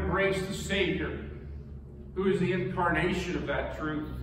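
A man speaking at a fairly slow pace, with noticeable background noise and audible room echo. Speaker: preacher. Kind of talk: sermon. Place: church.

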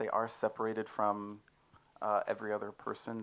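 A man is heard here. He speaks at a medium pitch. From Texas. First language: English (speaking Czech). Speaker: church member giving testimony; speaker. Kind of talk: testimony. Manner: halting. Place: tent. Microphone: handheld.

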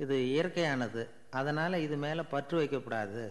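This man's voice is fairly high. It keeps a fairly even intonation. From Tamil Nadu, India. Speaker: radio broadcaster and storyteller. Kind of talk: humorous anecdote telling. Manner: easy, simple colloquial style.

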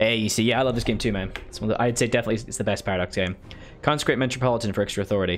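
A man talks at a very fast pace and a medium pitch, with ordinary pitch variation and light background noise. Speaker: video game streamer. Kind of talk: live gameplay commentary. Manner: casual, thinking aloud. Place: home room.

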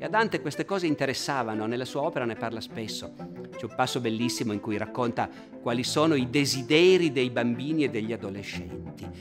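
Very fast male speech over clear music in the background. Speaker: presenter. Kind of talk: lecture. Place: hall.

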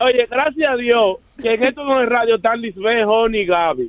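At a moderate pace, a man speaks with an extremely high pitch and ordinary pitch variation, in a dry, close sound with no echo.

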